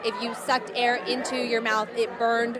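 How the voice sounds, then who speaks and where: Crowd noise fills the background as a woman with an American accent talks at a fairly high pitch in a monotone, flat intonation. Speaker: TV news reporter and anchor. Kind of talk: live field reporting at a protest. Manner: urgent, breathless.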